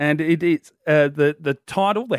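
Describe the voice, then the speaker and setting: Recorded very cleanly against a silent background, a man with an Australian accent speaks at a fairly slow pace in a dry, close sound with no echo. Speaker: radio host. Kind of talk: casual chat. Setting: studio.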